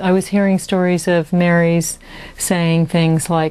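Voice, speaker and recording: At a fairly slow pace, a woman speaks. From Texas. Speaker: author and lecturer. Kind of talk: interview answer. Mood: calm, reflective. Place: home room. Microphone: lapel.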